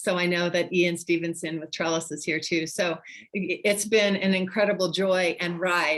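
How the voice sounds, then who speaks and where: A woman's fairly low voice, monotone and flat, at a moderate pace with hardly any pauses. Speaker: nonprofit founder and former pastor. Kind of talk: presentation in online meeting.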